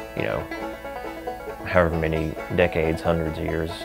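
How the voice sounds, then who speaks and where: A man speaks in a very deep, low voice. Clear music plays in the background. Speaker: old-time musician. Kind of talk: interview answer. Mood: warm, reflective. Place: office.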